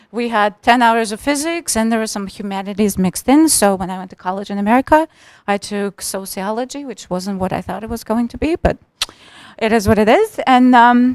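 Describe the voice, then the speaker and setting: A woman with a Russian accent speaks at a fairly quick pace, her fairly high pitch showing ordinary variation. The sound is dry and close with no echo, and her loudness swings a lot. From Russia, Moscow. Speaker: tech professional, immigrant panelist. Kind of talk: panel discussion.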